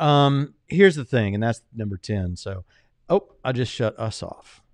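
Spoken in a plain, everyday voice with an American accent, the words come at a moderate pace with ordinary pitch variation over a quiet background. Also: man. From US South, Jacksonville, Florida. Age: 30s. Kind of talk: casual chat. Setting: livestream studio.

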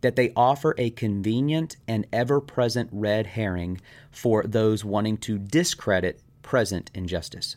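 A man's fairly slow, medium-pitched speech with lively intonation, an ordinary speaking voice, in a very clean recording with a silent background. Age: 40s. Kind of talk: monologue lecture on faith and race.

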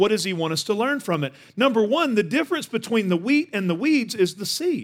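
Very wide pitch swings mark this fairly quick delivery in a Texan accent. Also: man. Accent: Texan Southern US. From Northeast Texas. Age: 40s. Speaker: guest pastor. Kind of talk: sermon. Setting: church stage with audience.

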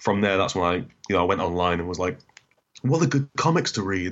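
Rattling along at a very fast pace, a man talks in a fairly low pitch. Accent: northern English. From northern England (Doncaster, Newcastle). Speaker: comics analysis YouTuber. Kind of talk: casual interview.

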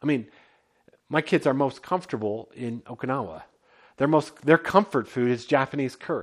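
Speaking at a medium pitch, a man uses a normal speaking voice with lively intonation. His pace is moderate, and the recording is very clean with a silent background. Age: 40s. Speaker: pastor. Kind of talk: sermon. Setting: home basement.

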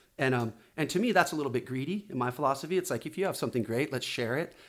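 On a very clean recording with a silent background, a man talks very fast with ordinary pitch variation. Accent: Southern California. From Oceanside, California, US. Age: 40s. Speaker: magazine publisher and former pro surfer. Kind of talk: casual interview chat.

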